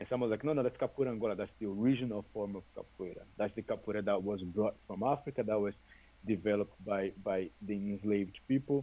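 A man talks very fast at a fairly low pitch. His pitch varies in an ordinary way. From Brazil, Salvador, Bahia. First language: Portuguese. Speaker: capoeira teacher. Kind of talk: interview.

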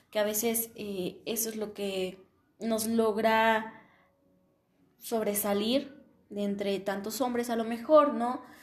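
In a room with audible echo, a woman with a fairly high pitch speaks very slowly, with fairly even intonation and long, frequent pauses. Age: 20s. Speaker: logistics engineering student. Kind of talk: solo podcast monologue. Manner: hesitant, many fillers.

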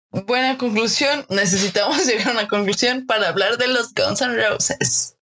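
A woman's fairly high voice in a Mexican accent, very even in loudness with hardly any pauses. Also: ordinary pitch variation, moderate pace. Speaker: design podcast host. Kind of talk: casual chat.

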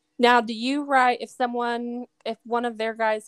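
A woman's fairly high voice at a fairly slow pace, flat and monotone, with a dry, close sound with no echo on a very clean recording over a silent background. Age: 30s. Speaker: podcast host. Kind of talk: casual interview chat.

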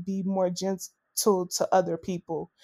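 On a very clean recording with a silent background, a woman with a Southern US accent speaks at a fairly slow pace in a dark, mellow tone. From US South, Arkansas. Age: 30s. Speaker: natural hair brand co-runner. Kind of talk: casual interview.

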